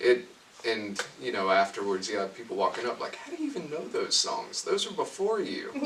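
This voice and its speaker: A man talks at a fairly quick pace. Noticeable background noise can be heard. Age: young. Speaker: young country singer-songwriter. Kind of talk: interview.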